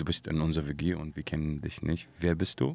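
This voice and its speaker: In a very clean recording with a silent background, a man speaks at a moderate pace with an Arabic accent. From Syria. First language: Arabic (speaking German). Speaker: singer. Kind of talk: interview. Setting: studio.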